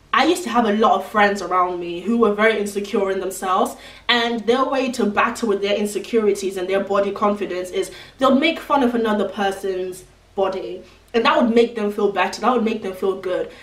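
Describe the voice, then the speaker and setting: Over noticeable background noise, a woman speaks at a fairly quick pace with medium pitch and ordinary pitch variation. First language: not English. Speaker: beauty and lifestyle vlogger. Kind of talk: advice vlog. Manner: casual, chatty.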